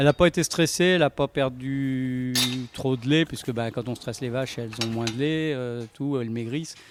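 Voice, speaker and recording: A man speaks at a moderate pace and medium pitch with fairly even intonation, in a dry, close sound with no echo. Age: 60s. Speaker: dairy farmer. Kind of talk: interview testimony. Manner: halting, many hesitations.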